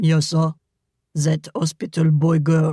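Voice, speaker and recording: Doing a put-on character voice, a man speaks fairly high and at a fairly slow pace in a dry, close sound with no echo. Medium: read story. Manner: halting, broken English.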